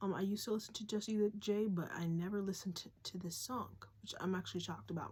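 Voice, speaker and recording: Fairly quick, somewhat breathy woman's voice of medium pitch, with a dark, mellow tone and fairly even intonation. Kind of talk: casual spiritual talk with lyric reading. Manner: fast; casual, filler-heavy.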